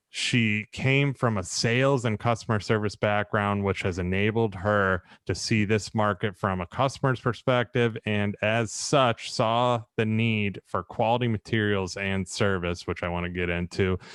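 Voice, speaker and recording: A man with an ordinary speaking voice, fairly low in pitch, at a moderate pace with hardly any pauses and fairly even intonation, in dry, close sound with no echo against a quiet background. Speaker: builder and podcast host. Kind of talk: podcast intro.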